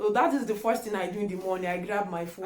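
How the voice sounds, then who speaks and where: With a Nigerian accent, a woman speaks at a medium pitch with ordinary pitch variation, amid noticeable background noise and audible room echo. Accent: Nigerian (Yoruba) English. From Nigeria (Yoruba). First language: Yoruba. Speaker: YouTuber. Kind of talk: casual vlog chat.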